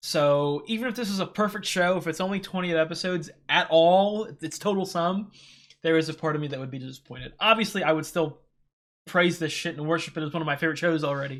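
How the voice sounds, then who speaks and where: In a very clean recording with a silent background, a high-pitched man talks at a very fast pace with ordinary pitch variation. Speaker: anime reaction youtuber. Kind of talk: solo reaction commentary. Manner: halting, many fillers and repeats.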